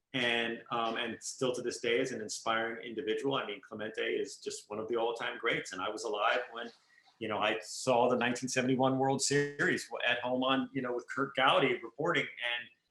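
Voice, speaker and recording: Against background music, a man talks fairly quickly in a monotone, flat way at medium pitch, with hardly any pauses. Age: 50s. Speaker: photographer. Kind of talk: interview. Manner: loud.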